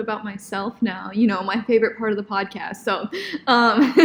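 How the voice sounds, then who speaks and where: A woman's fairly high voice with ordinary pitch variation at a fairly quick pace, over noticeable background noise. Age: 20s. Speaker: podcast co-host, dance student. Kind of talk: casual chat.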